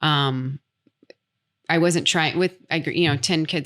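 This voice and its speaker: A woman with an American accent talks at a fairly quick pace in a bright, sharp tone, on a very clean recording with a silent background. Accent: American accent, never changed. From United States, small farm town. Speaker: expat interviewee. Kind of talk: podcast interview. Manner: halting, many fillers.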